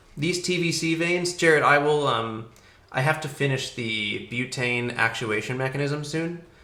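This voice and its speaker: At a moderate speed and with normal pitch variation, a man speaks in a space with audible room echo. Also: fairly high pitch for a man. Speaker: rocketry engineer and livestreamer. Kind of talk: live stream chat reading viewer questions. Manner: hesitant, many fillers.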